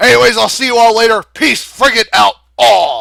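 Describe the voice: A man puts on a hoarse, high-pitched character voice, raised and projected, in a very clean recording with a silent background.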